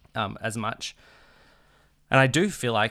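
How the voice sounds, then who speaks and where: The voice has an Australian accent and a bright, sharp tone. The recording is very clean, with a silent background. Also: man. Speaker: podcast co-host. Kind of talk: casual chat.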